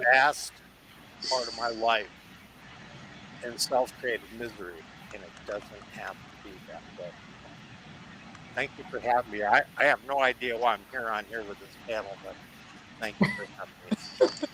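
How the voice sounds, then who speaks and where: There is noticeable background noise as a man talks at a moderate pace, with big swings in loudness and long, frequent pauses. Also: medium pitch for a man, ordinary pitch variation. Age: 70s. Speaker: panel guest in addiction recovery. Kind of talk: panel discussion.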